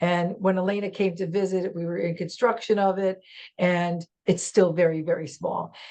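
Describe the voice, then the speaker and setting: With an American accent, the speaker uses a dark, mellow tone and monotone, flat intonation at a moderate pace. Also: woman, medium pitch for a woman. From New York. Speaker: real estate agent. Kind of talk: casual chat. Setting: video call. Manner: loud.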